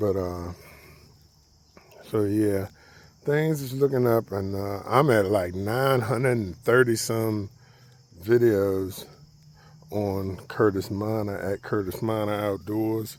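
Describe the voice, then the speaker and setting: A man with a fairly low pitch at a very slow pace, with long, frequent pauses. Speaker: outdoors and firewood vlogger. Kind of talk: casual vlog. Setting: outdoors walking the dog. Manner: subdued, not excited.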